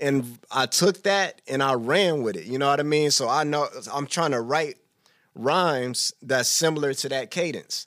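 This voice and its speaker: A man at a moderate pace, a plain, everyday voice, on a very clean recording with a silent background. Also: fairly high pitch for a man, ordinary pitch variation. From Texas (Killeen). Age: 30s. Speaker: hip hop artist. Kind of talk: casual interview. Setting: studio.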